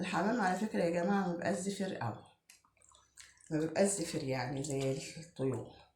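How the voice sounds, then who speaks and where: A woman's fairly low voice at a moderate pace, with audible room echo. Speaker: home cook. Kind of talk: tutorial. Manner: casual, chatty.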